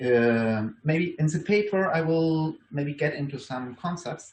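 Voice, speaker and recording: Speaking with a strong German accent, a man talks at a fairly high pitch. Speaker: university lecturer. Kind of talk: conference talk. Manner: halting, many fillers and restarts.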